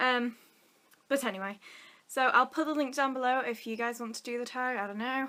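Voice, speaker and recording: Pausing long and often at a fairly quick pace, a woman with a northern English accent speaks in a high pitch with a bright, sharp tone and fairly even intonation. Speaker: vlogger. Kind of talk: casual chat.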